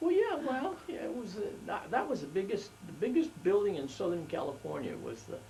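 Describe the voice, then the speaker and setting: High-pitched for a man, this speaker's voice swings very widely in pitch, with noticeable background noise and audible room echo. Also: fairly quick pace. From Los Angeles, US West. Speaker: family elder interviewed about his life. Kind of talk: oral history interview. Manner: halting, many fillers and restarts.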